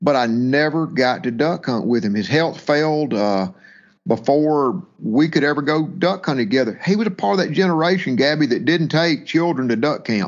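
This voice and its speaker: A man speaks with a Mississippi accent at a moderate pace. His pitch is fairly high and his intonation is lively. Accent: Mississippi Southern. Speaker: waterfowl hunting business owner. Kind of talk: interview storytelling. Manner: halting with repetitions.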